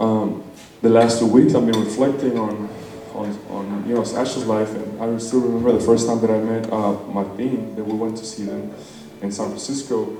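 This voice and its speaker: Noticeable background noise and audible room echo accompany a man with a Spanish accent who talks at a moderate pace in a monotone, flat intonation. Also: medium pitch for a man. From Mexico. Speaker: wedding guest giving a toast. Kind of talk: wedding speech. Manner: hesitant, with many fillers.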